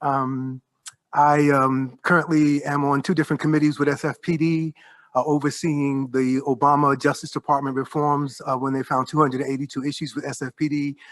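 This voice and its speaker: Against a quiet background, the voice moves at a fairly quick pace with a New York accent. Its intonation is monotone and flat. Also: man, fairly high pitch for a man. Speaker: professor. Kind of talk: roundtable discussion. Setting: panel before observers.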